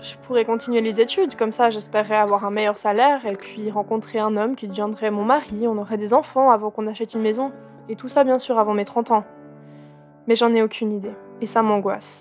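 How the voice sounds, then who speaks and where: The speaker talks fairly fast. Music is audible behind the voice. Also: woman, fairly high pitch for a woman. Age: 20s. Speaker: content creator. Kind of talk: scripted narration. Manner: animated.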